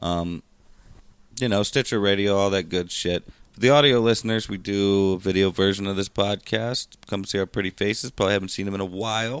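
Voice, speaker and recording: Recorded very cleanly against a silent background, a man with a plain, everyday voice speaks at a fairly low pitch and a fairly quick pace, with fairly even intonation. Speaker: podcast co-host. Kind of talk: casual banter, comedic chat. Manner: laid-back, jokey.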